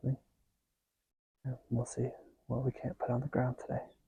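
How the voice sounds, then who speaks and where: A man's dark, mellow voice with vocal fry comes through in a dry, close sound with no echo. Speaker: hunting vlogger. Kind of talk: hunting vlog commentary. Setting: outdoors in a deer stand. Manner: whispering.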